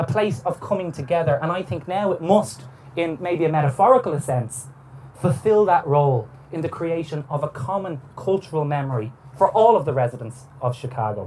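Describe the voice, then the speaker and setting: This man has an Irish accent and a fairly high pitch. He talks at a fairly quick pace with lively intonation. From Ireland. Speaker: historian. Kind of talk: lecture. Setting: on a boat cruise. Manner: formal.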